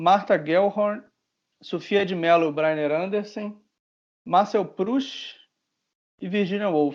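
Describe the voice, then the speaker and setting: A man with a Brazilian accent speaks at a high pitch and a very slow pace, with long, frequent pauses. His pitch varies in an ordinary way against a quiet background. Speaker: podcast co-host. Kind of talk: casual chat.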